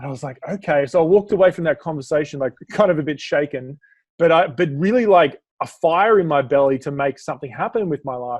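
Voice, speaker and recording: A man with an Australian accent and a fairly high voice talks at a very fast pace, his pitch varying in an ordinary way. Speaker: business speaker and coach. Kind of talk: podcast interview.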